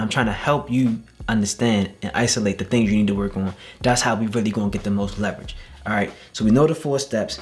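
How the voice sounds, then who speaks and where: Man speaking at a fairly quick pace in an animated tone, music in the background. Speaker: wellness coach. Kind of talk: tutorial. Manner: fast.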